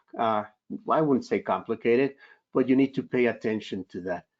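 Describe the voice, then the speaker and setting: A man speaks with a Spanish accent. His voice sits at a medium pitch with ordinary variation. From Spanish-speaking country, immigrant. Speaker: psychiatrist. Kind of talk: Q&A answer in a webinar. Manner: halting, many fillers.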